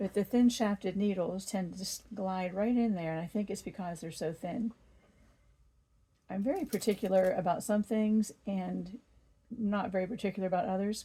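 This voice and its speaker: Her voice sits at a medium pitch with a dark, mellow tone. The woman sounds somewhat breathy. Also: fairly even intonation, moderate pace. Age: 60s. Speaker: quilting YouTuber. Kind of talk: tutorial.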